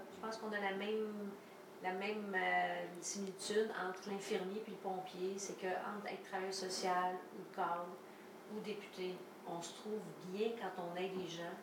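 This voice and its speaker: Intonation is monotone and flat, at a fairly slow pace. Audible room echo and noticeable background noise fill the recording. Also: woman. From Quebec, Valleyfield area. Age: 50s. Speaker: podcast host, politician. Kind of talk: casual interview. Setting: home kitchen.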